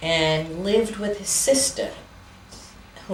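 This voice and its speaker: The speech comes in a New York accent with ordinary pitch variation. Audible room echo and noticeable background noise accompany it. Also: woman. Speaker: interviewee telling family history. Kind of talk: oral history interview. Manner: hesitant, with many fillers.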